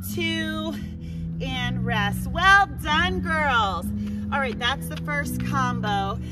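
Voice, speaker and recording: Loud music plays in the background as a woman speaks at a very slow pace, with a dry sound with no echo. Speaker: fitness instructor. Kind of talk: workout class cueing. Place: open country. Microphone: camera far.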